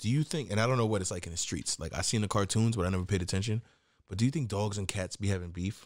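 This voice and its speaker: On a very clean recording with a silent background, a man with a New York accent talks very fast in a fairly low pitch. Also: ordinary pitch variation. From New York, Queens. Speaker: podcast co-host. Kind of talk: casual chat.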